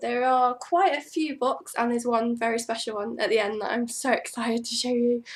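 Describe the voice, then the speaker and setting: Her voice is high-pitched and her pitch varies in an ordinary way as a woman talks at a fairly quick pace. The recording is very clean with a silent background. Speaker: book vlogger. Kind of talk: casual vlog. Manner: hesitant, with ums.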